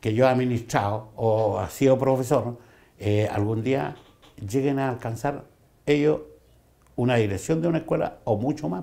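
The voice belongs to a man with a dark, mellow tone. His pitch variation is ordinary. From Chile. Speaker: school principal. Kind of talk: interview; interview answer. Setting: office. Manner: halting. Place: office. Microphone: lapel.

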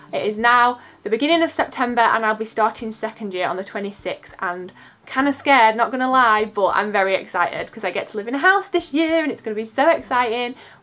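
A woman speaks at a very fast pace with a fairly high pitch and lively intonation. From England. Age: 20s. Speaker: YouTuber, university student; YouTuber. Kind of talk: casual vlog chat. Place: home room. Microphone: phone near.

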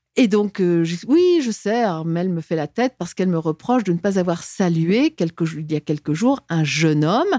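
Against a quiet background, a woman's fairly low voice has a dark, mellow tone and ordinary pitch variation, in a dry sound with no echo. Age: 60s. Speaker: former diplomat and whistleblower; guest. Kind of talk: interview testimony; interview answer. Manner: halting, frequent repetitions. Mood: earnest, recounting grievances. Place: studio. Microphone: studio mic.

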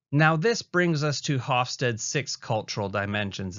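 In a Canadian accent, a man uses a normal speaking voice with ordinary pitch variation at a moderate pace. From Canada. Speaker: university lecturer. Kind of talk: recorded lecture.

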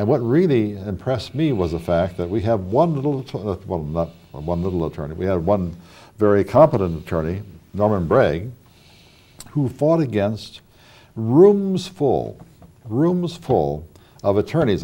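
Using very wide pitch swings, a man with an American accent talks at a moderate pace, leaving long, frequent pauses. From Wadsworth, Ohio; Ohio. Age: 60s. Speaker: local history show host. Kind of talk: oral history interview. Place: studio. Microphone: lapel.

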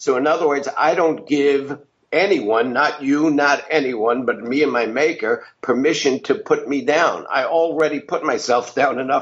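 Delivered at a moderate pace with hardly any pauses, the speech has very even loudness and ordinary pitch variation. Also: man, fairly high pitch for a man. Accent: New York. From New York. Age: 70s. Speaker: business success coach. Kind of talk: podcast interview.

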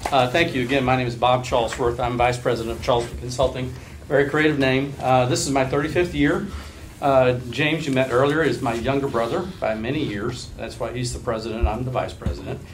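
A man talks at a fairly quick pace. There is noticeable noise in the background. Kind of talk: presentation to officials. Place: meeting room. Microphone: camera far.

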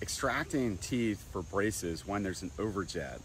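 A man with a very deep, low pitch and a somewhat breathy voice, in dry sound with no echo over light background noise. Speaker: dental health educator. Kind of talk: explanatory tutorial. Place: garden. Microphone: lapel.

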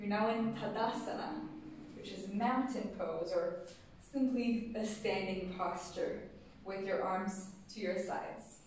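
A woman speaks in a gentle, calm tone at a fairly slow pace with fairly even intonation. Strong room echo and light background noise surround her voice. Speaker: yoga teacher. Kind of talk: guided yoga class, step-by-step postural cueing. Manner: gentle, calm, unhurried instructional cueing; slightly halting with frequent filler 'uh'. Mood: calm, soothing. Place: studio. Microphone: camera far.

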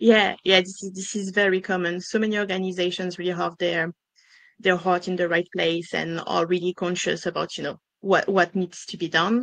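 A woman with a French accent speaks in a monotone, flat intonation at medium pitch and a moderate pace, with a quiet background. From France. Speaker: diversity and inclusion consultant. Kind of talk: business webinar interview. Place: home room. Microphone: headset.

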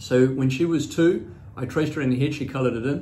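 Ordinary pitch variation marks this man's speech. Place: office. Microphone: phone near.

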